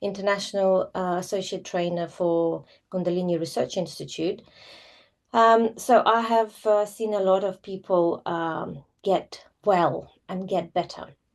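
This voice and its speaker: Against a quiet background, a woman with a Russian accent speaks at a fairly slow pace, her medium-pitched voice fairly even in intonation. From former Soviet Union, Russian-speaking. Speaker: yoga teacher. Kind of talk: live online class talk. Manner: hesitant, many fillers.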